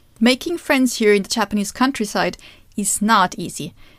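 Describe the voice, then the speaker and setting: A woman speaks at a moderate pace with a German accent and a fairly high pitch. Her pitch varies in an ordinary way, and the recording is very clean with a silent background. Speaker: Japanese teacher and podcast host. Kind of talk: podcast monologue.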